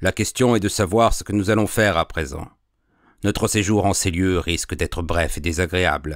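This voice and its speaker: In a put-on character voice, a man speaks very deep and low with a resonant sound at a moderate pace. The recording is very clean, with a silent background. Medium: read story. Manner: glib, persuasive.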